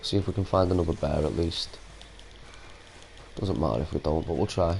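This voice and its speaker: Very fast pace from a man with a very deep, low voice, his pitch varying in an ordinary way. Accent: Manchester. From Salford, Greater Manchester, England. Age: 30s. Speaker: gaming streamer. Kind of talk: casual live-stream chat.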